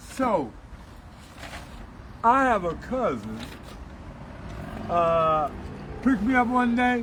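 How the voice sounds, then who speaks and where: A man's high-pitched, very slow delivery with lively intonation and long, frequent pauses, amid noticeable background noise and audible room echo. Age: 70s. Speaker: former hustler turned truck driver. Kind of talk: life story interview.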